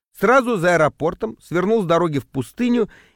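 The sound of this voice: The reading voice is unforced. Its intonation has a lively quality.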